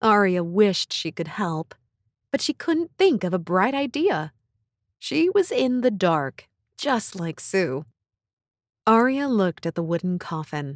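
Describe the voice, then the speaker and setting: Speaking at a fairly slow pace, a woman with a medium-pitched voice swings her pitch very widely, captured in a very clean, dry, close recording with a silent background and no echo. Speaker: audiobook narrator. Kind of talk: children's story narration.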